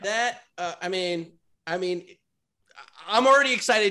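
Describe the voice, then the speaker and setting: A man with an American accent speaks in a raised, projected voice at a moderate pace. His tone is bright and sharp, his pitch high, with ordinary pitch variation. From Westchester, New York. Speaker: comedian. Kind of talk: casual chat.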